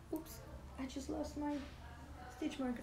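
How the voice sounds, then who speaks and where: A woman talks at a very fast pace with ordinary pitch variation, and there's audible room echo plus noticeable background noise. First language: Spanish. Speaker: knitting podcast co-host, yarn dyer. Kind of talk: casual chat.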